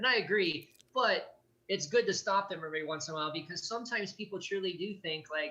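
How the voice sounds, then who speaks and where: Raised and projected, a man's high-pitched voice comes through bright and sharp at a very fast pace with ordinary pitch variation. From US Midwest, Gary, Indiana. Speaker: abuse survivor and advocate. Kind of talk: interview testimony. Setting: video call. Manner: halting.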